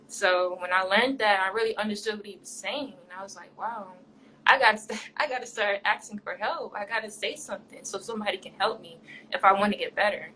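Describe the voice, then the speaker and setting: A woman talks at a fairly quick pace in a fairly high pitch, her intonation fairly even but her loudness swinging widely. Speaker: podcast guest, teacher and content creator. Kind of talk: interview. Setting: live podcast. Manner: soft-spoken.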